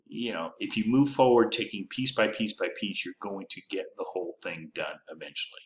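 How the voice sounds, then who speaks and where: A man at a moderate pace with hardly any pauses. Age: 60s. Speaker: affiliate marketing YouTuber. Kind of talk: casual commentary video. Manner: halting, many fillers.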